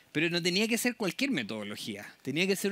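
A man with a high pitch and a bright, sharp tone in a dry sound with no echo. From southern Chile (Temuco); southern Chile. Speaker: public agency program manager. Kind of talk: conference talk. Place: tent.

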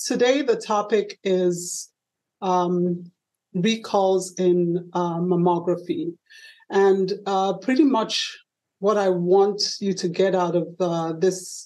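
Very slow female speech with a dark, mellow tone and fairly even intonation. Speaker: radio presenter. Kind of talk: lecture. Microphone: webcam.

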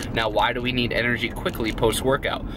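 There is music in the background as a man talks, and the sound is dry with no echo. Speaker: fitness vlogger. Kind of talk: casual vlog chat. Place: car. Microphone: phone near.

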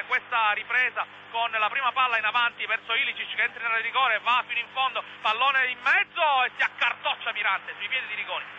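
Someone is shouting at a fairly quick pace, in a dry sound with no echo and light background noise. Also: man, extremely high pitch for a man. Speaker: football commentator. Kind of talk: live sports commentary. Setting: stadium commentary over match footage. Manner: fast, breathless, excitable play-by-play with rising shouts on goals. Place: booth.

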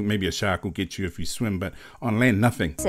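A man with a New Zealand accent speaks at a fairly quick pace. The background is quiet. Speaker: reaction video host. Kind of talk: casual reaction video talk. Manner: casual, animated. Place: home room.

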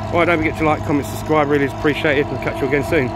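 A man is heard in a dry recording with no echo but noticeable background noise. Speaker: vlogger filming vehicle. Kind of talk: casual vlog chat. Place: open country. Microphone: phone near.

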